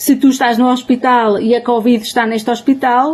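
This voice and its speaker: Moderately paced, monotone speech with flat intonation from a woman pitched fairly high. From Portugal, Trás-os-Montes. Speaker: humanitarian anthropologist. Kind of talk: webinar talk. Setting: online webinar.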